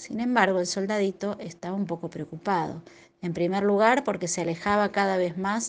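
The speaker uses a natural reading voice with fairly even intonation.

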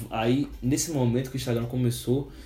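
A man with a medium-pitched, somewhat breathy voice talks at a moderate pace. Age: 20s. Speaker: podcast host. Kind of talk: casual chat.

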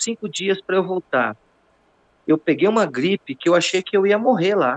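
Recorded with a dry, close sound and no echo, a man talks in a high pitch at a moderate pace with ordinary pitch variation. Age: 50s. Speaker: jiu-jitsu master. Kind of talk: casual chat.

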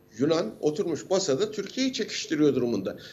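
His pitch moves up and down very widely. The voice is a man's. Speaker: university lecturer and defence analyst. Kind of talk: interview commentary. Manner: animated; halting with fillers.

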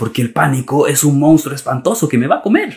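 The man's voice is fairly high and somewhat breathy. He keeps a moderate pace. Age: 40s. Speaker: gestalt therapist and podcast host. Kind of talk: solo monologue talk.

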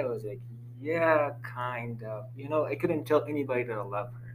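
Room echo is audible as a man speaks at a medium pitch. His intonation is fairly even and his pace fairly quick. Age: young. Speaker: student group discussion leader. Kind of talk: casual chat. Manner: halting.

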